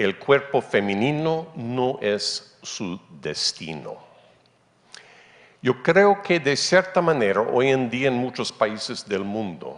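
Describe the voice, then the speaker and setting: Very slowly, a man speaks at a medium pitch. His pitch swings very widely. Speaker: anthropology professor. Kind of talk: conference talk. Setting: conference stage with audience.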